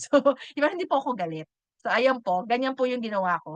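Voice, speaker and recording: Intonation rises and falls in a lively way. No echo at all, just a dry, close sound. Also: woman. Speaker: online bookkeeping course team leader. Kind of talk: online class lecture.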